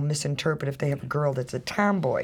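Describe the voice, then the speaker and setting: A woman with an American accent talks very fast in a very deep, low, somewhat breathy voice. The recording is very clean, with a silent background. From Chicago, South Side. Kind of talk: radio interview.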